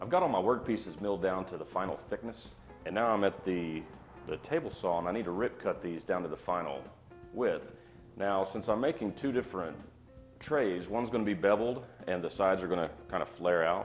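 A man speaks at a fairly quick pace and a fairly low pitch. His pitch varies in an ordinary way, with faint music in the background. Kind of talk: tutorial. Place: workshop. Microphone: camera far.

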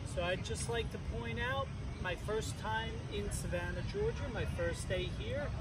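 A man speaks at a fairly slow pace over loud background noise, the sound dry with no echo. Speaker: travel vlogger. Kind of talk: casual vlog chat. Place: garden.

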